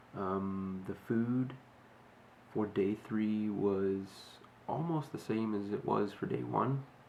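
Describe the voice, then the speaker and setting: Soft-spoken and fairly low in pitch, a man talks at a very slow pace with long, frequent pauses and ordinary pitch variation. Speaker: fitness vlogger. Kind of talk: casual video diary. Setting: at home early morning. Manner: quiet, soft-spoken; halting, many fillers.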